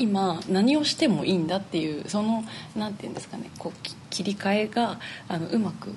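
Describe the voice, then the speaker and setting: Amid noticeable background noise and audible room echo, a woman with a medium pitch speaks at a moderate pace. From Niigata, Japan (Tsubame). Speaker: flute player. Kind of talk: interview.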